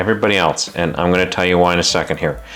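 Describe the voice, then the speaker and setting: Music behind a man's very deep, low voice. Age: 50s. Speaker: personal finance YouTuber. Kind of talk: opinionated advice monologue. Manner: animated.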